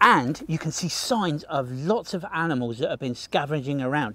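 A man talks at a fairly slow pace with lively intonation, the sound dry with no echo. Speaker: nature guide for kids. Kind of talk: educational walk-and-talk commentary. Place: forest. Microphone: phone near.

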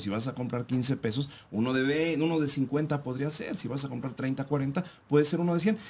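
Here a man talks at a moderate pace. His voice is fairly high in pitch and somewhat breathy. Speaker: radio co-host. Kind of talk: casual radio talk show.

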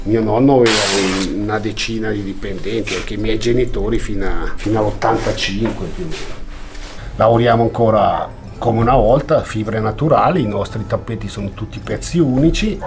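A man speaks at a moderate pace. There is light background noise. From Italy, Valtellina (Sondrio province); Italy. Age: 50s. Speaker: artisan weaver. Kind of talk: workshop demonstration; interview answer. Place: workshop.

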